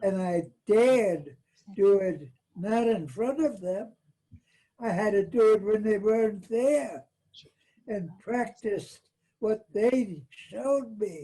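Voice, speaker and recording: Long pauses appear frequently. The delivery is very slow. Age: 80s+. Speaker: workshop participant. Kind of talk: casual discussion. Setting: video call.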